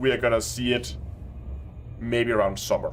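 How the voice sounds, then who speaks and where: Music plays in the background as a man speaks at a moderate pace. His pitch is medium. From Denmark. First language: Danish. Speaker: gaming streamer. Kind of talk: live stream commentary. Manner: halting.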